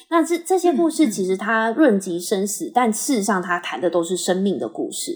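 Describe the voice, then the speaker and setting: A woman talks at a fairly quick pace in a fairly high voice with very wide pitch swings. Noticeable background noise sits behind her. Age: 30s. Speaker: patient autonomy nonprofit staff. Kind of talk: interview conversation.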